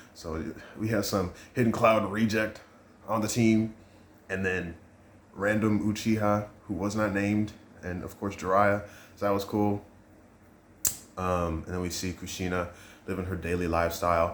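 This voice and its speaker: Amid audible room echo, a man speaks fairly low in a monotone, flat way, with long, frequent pauses. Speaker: manga reviewer / youtuber. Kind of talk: casual review monologue. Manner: fast.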